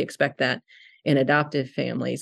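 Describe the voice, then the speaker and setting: Against a quiet background, a woman talks at a moderate pace with vocal fry. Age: 50s. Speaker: social worker and adoption agency director. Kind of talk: interview conversation.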